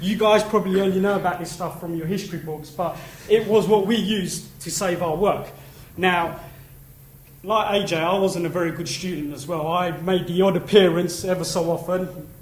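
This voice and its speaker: A high-pitched male voice at a moderate pace, monotone and flat, with audible room echo and noticeable background noise. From East London. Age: 30s. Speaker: conference speaker, industry trade body representative. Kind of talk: conference talk. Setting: stage with audience. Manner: casual, chatty.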